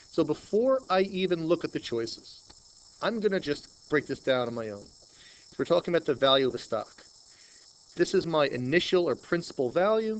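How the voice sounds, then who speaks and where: In a Long Island accent, a man with a high pitch talks at a moderate pace, his pitch swinging very widely and his loudness rising and falling sharply. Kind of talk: everyday, tutoring explanation.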